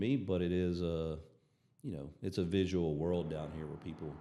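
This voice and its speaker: A man with a Southern US accent talks in a very deep, low voice with a dark, mellow tone and fairly even intonation, and audible room echo surrounds him. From Alabama, US South. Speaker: doctor and peptide clinic owner. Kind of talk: casual chat.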